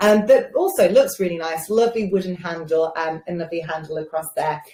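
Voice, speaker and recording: A somewhat breathy woman with an English Midlands accent, fairly quick and lively in intonation. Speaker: beauty show host. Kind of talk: live shopping show presentation. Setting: live stream. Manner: casual, with many fillers.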